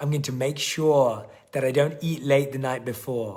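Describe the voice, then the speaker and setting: In a room with audible echo, a man at medium pitch talks at a fairly quick pace in a somewhat breathy voice. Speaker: online workshop coach. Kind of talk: live webinar coaching.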